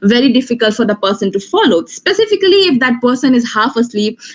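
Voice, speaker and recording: Speaking at a fairly quick pace, a woman uses a fairly high pitch. She has an Indian accent. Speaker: law graduate, moot court competitor. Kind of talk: online webinar talk. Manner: hesitant, many fillers.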